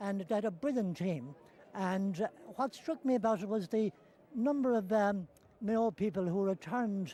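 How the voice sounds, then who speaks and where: A man speaks in a western Irish accent at a moderate pace, his pitch high with ordinary variation. His tone is dark and mellow. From west of Ireland. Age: 80s+. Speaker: elderly supporter. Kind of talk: interview. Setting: stadium. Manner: halting.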